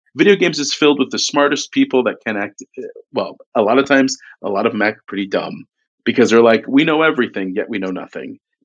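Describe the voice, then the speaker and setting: The speech comes at a very fast pace in an American accent. Its intonation is lively. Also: man, medium pitch for a man. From US, Utah. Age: 40s. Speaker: video game company CEO. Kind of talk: casual interview. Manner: animated.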